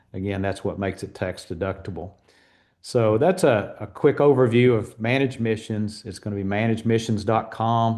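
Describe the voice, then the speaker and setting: At a moderate pace, a man speaks in an ordinary speaking voice pitched fairly low. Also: quiet background. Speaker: mission trip trainer. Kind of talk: online training presentation.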